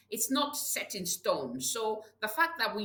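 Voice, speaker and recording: Audible room echo and noticeable background noise fill the recording. A woman with a medium pitch makes very wide pitch swings. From Nigeria. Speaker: public health leader. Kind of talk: interview. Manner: repetitive stammering, many fillers.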